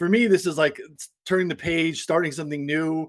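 A man talks at a fairly quick pace in a normal speaking voice, pitched fairly high. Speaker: podcast host. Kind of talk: casual sports betting discussion.

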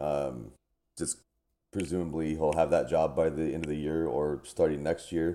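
With a very deep, low pitch and a dark, mellow tone, a man talks at a moderate pace with fairly even intonation. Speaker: fantasy football analyst. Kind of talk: casual chat.

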